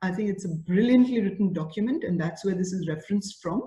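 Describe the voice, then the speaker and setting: Somewhat breathy, a woman speaks in a dark, mellow tone. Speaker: school principal. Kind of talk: online masterclass for teachers. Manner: animated.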